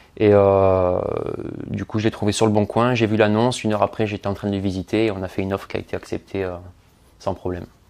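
A man speaks very fast at a fairly low pitch. His intonation is monotone and flat. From Marseille, southern France. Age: 20s. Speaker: property investor. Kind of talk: interview.

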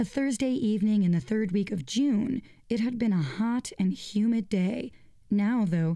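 An unforced reading voice moves through ordinary variation in pitch.

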